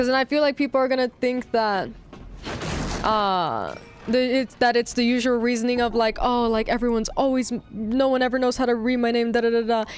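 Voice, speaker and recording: A woman speaks at a fairly quick pace in a high voice, her loudness very even. Her tone is animated, with music playing in the background. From Nicaraguan heritage. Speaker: vtuber gaming streamer. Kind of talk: live stream casual chat. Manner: animated, many fillers.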